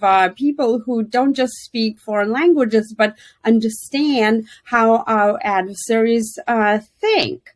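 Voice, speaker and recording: With a Russian accent, a woman speaks at a fairly slow pace with lively intonation. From Soviet Union (Russia). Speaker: former intelligence officer. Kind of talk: podcast interview. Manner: many fillers and hesitations.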